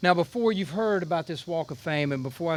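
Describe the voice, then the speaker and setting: Speaking at a fairly quick pace, a man with a Southern US accent uses ordinary pitch variation. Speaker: Air Force general. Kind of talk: ceremony speech.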